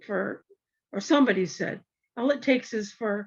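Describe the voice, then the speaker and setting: With vocal fry and lively intonation, the speaker delivers the words at a fairly slow pace. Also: woman. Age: 70s. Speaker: community discussion participant. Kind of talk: casual group discussion. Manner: halting.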